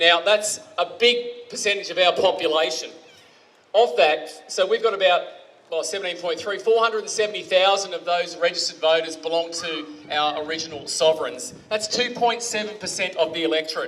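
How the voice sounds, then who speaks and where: Loud and high-pitched, a man with an Australian accent talks at a fairly quick pace with ordinary pitch variation over noticeable background noise. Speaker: speaker at a community rally. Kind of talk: public speech.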